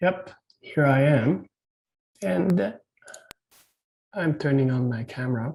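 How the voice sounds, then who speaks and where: A man's fairly high, somewhat breathy voice at a very slow pace, with lively intonation and long, frequent pauses. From Quebec. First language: French. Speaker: medical device consultant and company founder. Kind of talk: webinar presentation. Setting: video call. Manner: halting, many fillers.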